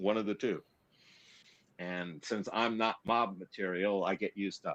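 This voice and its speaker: This is a man with an ordinary speaking voice. He talks at a moderate pace with ordinary pitch variation. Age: 60s. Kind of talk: casual chat.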